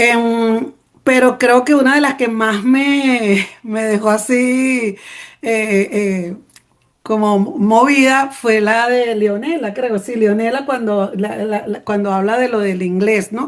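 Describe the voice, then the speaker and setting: A woman's fairly high voice at a very slow pace. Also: ordinary pitch variation. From Venezuela, Petare (Caracas). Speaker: journalist. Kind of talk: panel talk. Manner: spontaneous, with many fillers and restarts; passionate.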